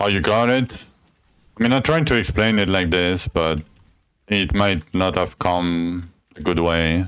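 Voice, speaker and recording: Using a French accent, a man speaks at a very deep, low pitch and a fairly slow pace, with very even loudness and long, frequent pauses. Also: ordinary pitch variation. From France. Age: 30s. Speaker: gaming streamer. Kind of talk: live gameplay stream chat. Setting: live stream. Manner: casual, explanatory.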